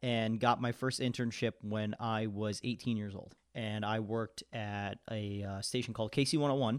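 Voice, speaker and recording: A man with an American accent talks at a moderate pace in an unremarkable speaking voice, pitched at a medium level. The recording is very clean with a silent background, and the sound is dry and close with no echo. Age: 20s. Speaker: radio DJ. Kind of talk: casual chat.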